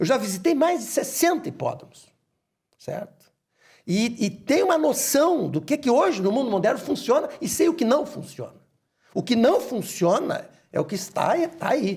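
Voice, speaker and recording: This man's voice sits extremely high in pitch. His pitch swings very widely. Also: moderate pace. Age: 60s. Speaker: horse racing club president. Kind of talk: interview. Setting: studio.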